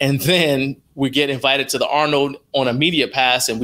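A man's bright, sharp voice at a moderate pace. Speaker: interview guest. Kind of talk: interview answer.

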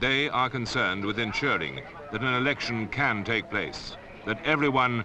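Over noticeable background noise, the speaker keeps a moderate pace, very even loudness and ordinary pitch variation. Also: man. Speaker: narrator. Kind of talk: public information film narration.

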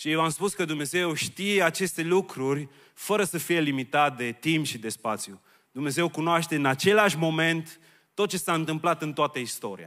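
Over a quiet background, a man speaks at a moderate pace in a bright, sharp tone. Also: ordinary pitch variation. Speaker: preacher. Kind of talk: sermon. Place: church. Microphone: handheld.

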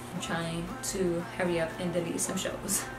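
Clear music plays in the background. A woman speaks at a moderate pace. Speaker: lifestyle vlogger. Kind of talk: casual vlog chat. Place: home room. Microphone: camera far.

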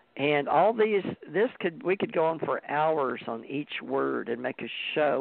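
A man speaks at a fairly slow pace. The sound is dry with no echo. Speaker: podcast co-host. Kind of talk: casual talk show chat. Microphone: video call.

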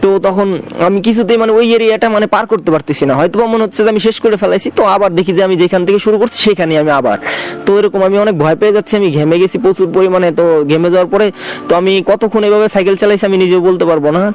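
Against noticeable background noise, a man speaks at a high pitch with very even loudness and ordinary pitch variation. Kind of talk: personal ghost experience told to radio show. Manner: casual, hesitant.

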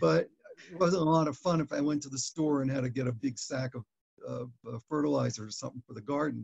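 Somewhat breathy speech comes at a fairly quick pace against a quiet background. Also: man. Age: 70s. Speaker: chronic back pain patient giving a testimonial. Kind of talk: interview answer. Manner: hesitant, with many fillers. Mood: calm, reflective. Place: home room. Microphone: webcam.

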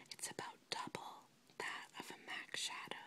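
Whispering, a woman keeps to a moderate pace. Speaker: ASMR creator, makeup enthusiast. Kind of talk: casual talk to camera, product show-and-tell. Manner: whispered, relaxing. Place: home room. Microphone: phone near.

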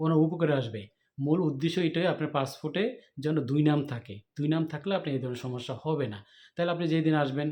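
The man's voice carries a dark, mellow tone. It sits fairly high in pitch. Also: ordinary pitch variation. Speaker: YouTube vlogger. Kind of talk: vlog interview.

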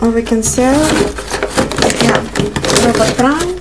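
Faint background noise sits behind a woman whose fairly high voice shows ordinary pitch variation.

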